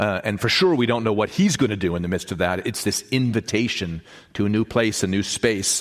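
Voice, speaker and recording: A man speaks in an animated tone at a moderate pace. His voice is fairly low with ordinary pitch variation. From born in Mexico to US missionary parents. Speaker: bishop and guest preacher. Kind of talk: sermon. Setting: church. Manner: animated, halting repetitions.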